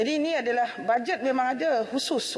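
A woman is talking. The pitch of her voice shifts in an ordinary way. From Malaysia. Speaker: government minister. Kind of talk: parliamentary answer. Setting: parliament chamber. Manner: halting, many fillers. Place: hall. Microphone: podium.

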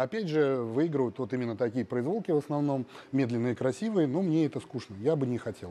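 Lively in intonation, a man talks at a fairly quick pace. His tone is dark and mellow. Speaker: bodybuilder; interview guest. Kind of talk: interview. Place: gym. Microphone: lapel.

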